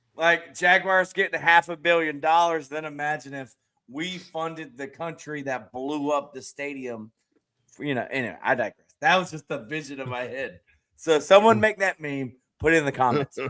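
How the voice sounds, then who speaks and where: In a Southern accent, the speaker has a bright, sharp tone, ordinary pitch variation, a moderate pace and big swings in loudness. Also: man, fairly high pitch for a man. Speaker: streamer and podcast host. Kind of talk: casual panel discussion. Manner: mumbling.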